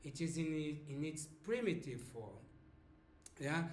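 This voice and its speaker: A man's voice with audible room echo. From Brazil, Sao Paulo. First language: Portuguese. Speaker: language teacher. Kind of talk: lesson. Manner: slow, explanatory with fillers.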